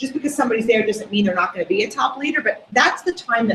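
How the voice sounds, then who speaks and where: A woman talks with an American accent at a fairly high pitch. Her intonation is lively. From US Northeast, North Jersey. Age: 50s. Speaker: direct sales leader. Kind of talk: sales training presentation. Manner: animated.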